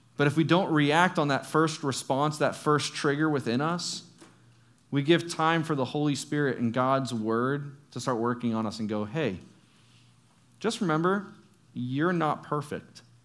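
Ordinary pitch variation and audible room echo in a fairly high male voice. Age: 30s. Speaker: youth pastor. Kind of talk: sermon.

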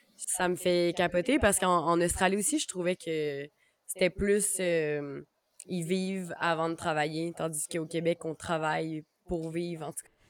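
A woman with a normal speaking voice and a fairly low pitch talks at a fairly slow pace, her intonation fairly even but her loudness swinging widely. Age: 20s. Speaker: podcast host. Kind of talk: casual chat.

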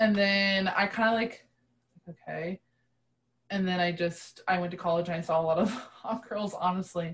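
Speaking at a moderate pace with an American accent, the voice keeps a fairly even intonation. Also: woman, medium pitch for a woman. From US (adopted from Russia at 3). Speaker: podcast guest. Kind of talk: casual chat.

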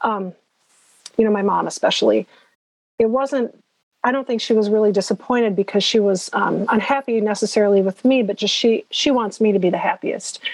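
Fairly quick and very even in loudness, a woman speaks with an unremarkable speaking voice at a fairly high pitch and fairly even intonation, in a dry, close sound with no echo. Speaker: podcast co-host.

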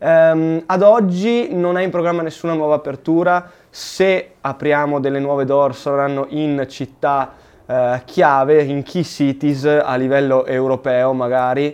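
A man's fairly high voice, fairly slow delivery and ordinary pitch variation. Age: 20s. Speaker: sneaker shop host. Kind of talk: live Q&A chat. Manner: animated.

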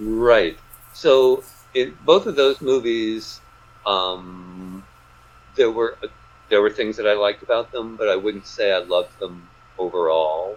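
Speaking at a fairly slow pace with long, frequent pauses, a man uses a medium pitch with ordinary pitch variation. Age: 60s. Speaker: author. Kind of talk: casual interview.

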